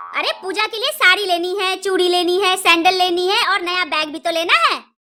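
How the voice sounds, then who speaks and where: A woman puts on a cartoonish character voice at an extremely high pitch. She speaks at a fairly quick pace. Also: ordinary pitch variation. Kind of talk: cartoon comedy acting. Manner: scolding, domineering.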